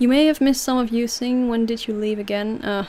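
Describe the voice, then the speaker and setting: In a Dutch accent, a woman talks at a fairly quick pace with a fairly high pitch and ordinary pitch variation. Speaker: streamer. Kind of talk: livestream Q&A. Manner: casual, hesitant with fillers.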